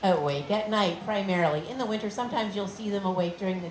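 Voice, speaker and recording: There is noticeable background noise and audible room echo. A woman speaks at a medium pitch. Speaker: animal care presenter. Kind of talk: live educational talk to audience. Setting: outdoor stage with audience. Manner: fast; friendly, animated.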